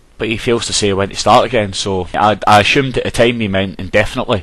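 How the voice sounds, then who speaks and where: With a Glaswegian accent, a man talks at a fairly quick pace. His voice is fairly low and his intonation fairly even. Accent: Glaswegian Scottish. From Glasgow, Scotland. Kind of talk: casual talk to camera. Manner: hesitant, frequent ums.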